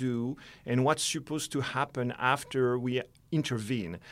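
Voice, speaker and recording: Someone with a French accent speaks at a fairly slow pace in a very clean recording with a silent background. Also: man. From France. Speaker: conservation biologist. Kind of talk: interview. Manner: hesitant, with fillers and repetitions.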